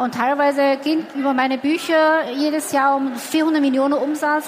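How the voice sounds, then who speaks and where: The speaker has a Chinese accent and monotone, flat intonation. The pace is fairly slow, with noticeable background noise. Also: woman. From China. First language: Chinese (speaking German). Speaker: entrepreneur. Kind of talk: interview. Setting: stage with audience.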